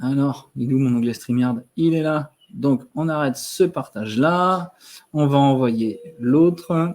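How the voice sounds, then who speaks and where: A man speaks at a very slow pace with a fairly high pitch. His pitch variation is ordinary. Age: 30s. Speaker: wellness advisor. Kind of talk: live stream product presentation. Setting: live stream. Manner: hesitant, many fillers.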